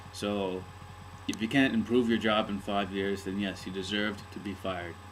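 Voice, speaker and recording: A man's fairly low voice at a fairly slow pace, with monotone, flat intonation. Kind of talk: casual talk to camera. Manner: hesitant, rambling.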